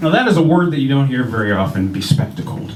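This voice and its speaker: With an American accent, a man races at a very fast pace through very wide pitch swings, heard with audible room echo and noticeable background noise. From Ohio, US Midwest. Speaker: stand-up comedian. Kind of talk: stand-up. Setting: stage with audience. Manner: non-threatening, mild; hesitant, many fillers.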